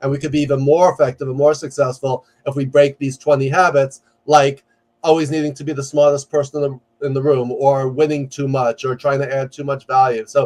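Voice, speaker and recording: A man talks at a fairly quick pace in a fairly high pitch. His intonation is monotone and flat, with a New York accent. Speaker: executive coach and professor. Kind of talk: podcast interview. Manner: loud; fast.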